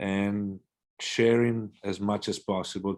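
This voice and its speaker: The speaker has an Italian accent and a flat, monotone intonation. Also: man. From Italy. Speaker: swim coach. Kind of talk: interview. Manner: hesitant, many fillers.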